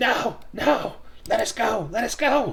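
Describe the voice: A put-on character voice with hissing, fairly high in pitch and at a fairly slow pace, over light background noise.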